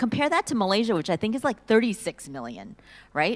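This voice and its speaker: This woman's pitch swings very widely. She has an American accent. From US, Silicon Valley, California. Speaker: panelist. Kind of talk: panel discussion.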